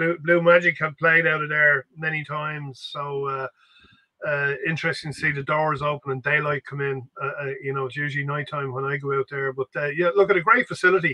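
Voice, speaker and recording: A man with a Dublin accent, fairly high in pitch, with fairly even intonation and a quiet background. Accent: Irish (Dublin). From Ireland. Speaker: grassroots football podcast co-host. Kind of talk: casual chat. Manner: halting. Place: home room. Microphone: video call.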